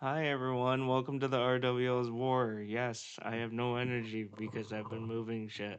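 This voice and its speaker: A man's medium-pitched voice at a moderate pace, monotone and flat in intonation, with hardly any pauses. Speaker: streamer hosting a fantasy wrestling show. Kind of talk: casual group chat on a livestream. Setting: livestream with co-hosts. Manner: low energy.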